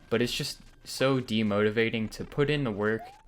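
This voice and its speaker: With noticeable background noise, a man speaks at a moderate pace, his pitch fairly low and his intonation fairly even. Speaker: YouTuber. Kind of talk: vlog monologue. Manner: flat.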